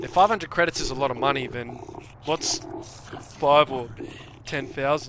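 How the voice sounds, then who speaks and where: With an Australian accent, a man speaks at a moderate pace and a fairly high pitch, varying it in an ordinary way and leaving long, frequent pauses amid noticeable background noise. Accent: Australian, heard by a viewer as British. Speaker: gaming streamer. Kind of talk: casual livestream commentary. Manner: animated.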